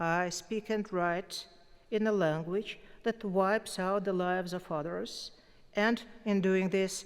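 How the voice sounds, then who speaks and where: In a Russian accent, the voice moves at a very slow pace. Its intonation stays fairly even. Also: woman. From Russia, Moscow. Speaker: poet, award winner. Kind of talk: acceptance speech. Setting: concert hall stage with audience.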